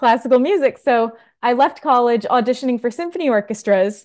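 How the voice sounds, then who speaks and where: Over a quiet background, a woman has a normal speaking voice at fairly high pitch. She talks at a fairly quick pace. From New Jersey. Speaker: music director. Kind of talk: interview.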